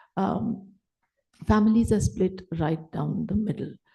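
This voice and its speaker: A woman speaks fairly slowly in a dark, mellow tone. Vocal fry runs through her voice. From Delhi, India. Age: 60s. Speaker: writer, panel speaker. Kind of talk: panel talk. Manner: conversational, code-switching Hindi and English.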